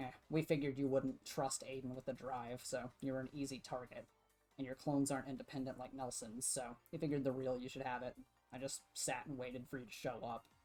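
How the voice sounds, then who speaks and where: A man's put-on character voice, croaky and monotone, medium-pitched and fairly quick. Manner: smirking, smug.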